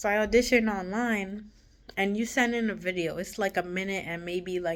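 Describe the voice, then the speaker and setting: A woman at a medium pitch, with fairly even intonation and a moderate pace. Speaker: vlogger. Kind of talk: casual storytelling vlog. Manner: casual, halting with fillers.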